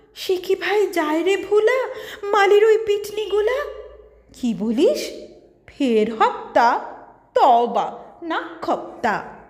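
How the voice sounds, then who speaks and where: This woman's pitch is extremely high, with very wide swings up and down. Noticeable background noise runs underneath. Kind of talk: poetry reading.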